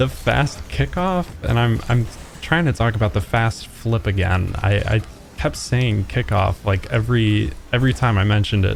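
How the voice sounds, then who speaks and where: A man's fairly slow, lively-toned speech over noticeable background noise. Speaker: gaming youtuber. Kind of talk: tutorial.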